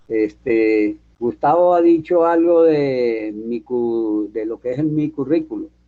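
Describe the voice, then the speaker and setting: A man speaks at a very slow pace and medium pitch, with ordinary pitch variation. He leaves hardly any pauses. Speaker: electrical engineer and guest lecturer. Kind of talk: lecture.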